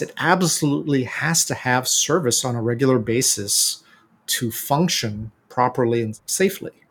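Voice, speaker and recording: A man's somewhat breathy, medium-pitched voice with an American accent, lively intonation and a fairly slow pace. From United States. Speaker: bike company founder. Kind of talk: interview.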